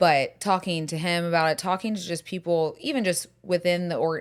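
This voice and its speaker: On a very clean recording with a silent background, a woman with an American accent speaks at a fairly low pitch. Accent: southern US, resurfacing. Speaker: podcast host. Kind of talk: casual chat.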